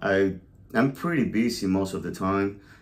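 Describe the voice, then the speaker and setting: A man with a Venezuelan accent at a moderate pace, on a very clean recording with a silent background. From Venezuela, La Guaira. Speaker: podcast co-host, realtor. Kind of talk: casual chat.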